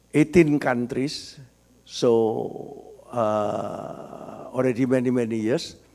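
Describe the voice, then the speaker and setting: A man with a medium pitch speaks very slowly, with fairly even intonation. Noticeable background noise runs underneath. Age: 70s. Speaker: business author and marketing expert. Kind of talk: talk at book discussion.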